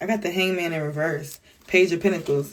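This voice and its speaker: A woman talks at a fairly quick pace in a fairly low voice with fairly even intonation. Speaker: tarot reader. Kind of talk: tarot reading. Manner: fast; casual.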